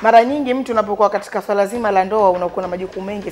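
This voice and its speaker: A woman speaks with faint music in the background. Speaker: talk show host. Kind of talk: talk show commentary. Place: studio.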